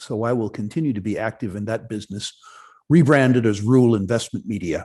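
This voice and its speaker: A man's medium-pitched voice, dark and mellow in tone, at a fairly quick pace with ordinary pitch variation. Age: 60s. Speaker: mining investment executive. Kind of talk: interview. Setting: online conference. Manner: halting, many fillers and restarts.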